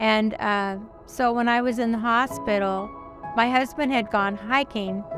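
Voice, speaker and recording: Music plays in the background as a woman speaks at a fairly slow pace, her fairly high pitch carrying fairly even intonation. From Oklahoma, raised in California. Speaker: retired preschool teacher. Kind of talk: interview answer.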